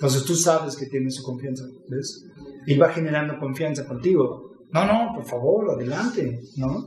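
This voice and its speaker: A man talks with lively intonation, his voice carrying audible room echo over noticeable background noise. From Mexico City. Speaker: sales expert. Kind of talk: casual chat.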